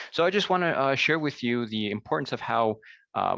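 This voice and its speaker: A man speaks at a fairly quick pace with a New Jersey accent and lively intonation. The sound is dry and close with no echo, over a quiet background. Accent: American, New Jersey. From US Northeast (New Jersey). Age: 30s. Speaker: language teacher. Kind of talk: conference presentation. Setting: virtual conference call. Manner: hesitant, many fillers; hurried.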